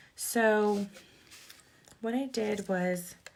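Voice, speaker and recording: A woman speaks over noticeable background noise. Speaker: card-making demonstrator. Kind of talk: tutorial. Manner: slurring words slightly; casual, chatty.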